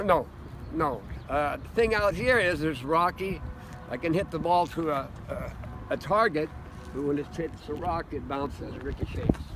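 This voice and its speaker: Over noticeable background noise, a man with an American accent talks at a moderate pace in a fairly high pitch with ordinary pitch variation. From Los Angeles, California. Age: 80s+. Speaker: Korean War army veteran. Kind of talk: interview answer. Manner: vibrant, lucid.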